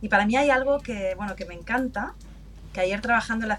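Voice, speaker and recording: A woman talks while noticeable background noise is audible behind her. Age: 50s. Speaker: customer experience manager. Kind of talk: interview.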